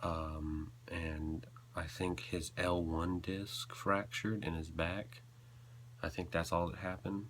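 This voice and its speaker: A man with an American accent speaks in a very deep, low voice. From US South, North Carolina. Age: young. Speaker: video blogger. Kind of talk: personal confessional vlog. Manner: halting.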